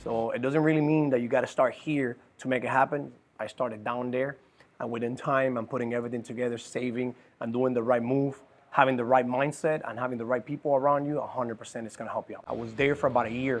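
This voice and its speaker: A man with a Cuban accent at medium pitch, talking very fast in a flat monotone over noticeable background noise. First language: Spanish. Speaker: business owner. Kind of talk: personal life story. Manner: halting.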